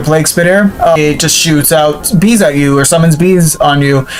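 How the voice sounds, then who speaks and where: A moderate pace amid noticeable background noise. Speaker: gaming YouTuber. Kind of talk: game review commentary. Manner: casual, filler-heavy.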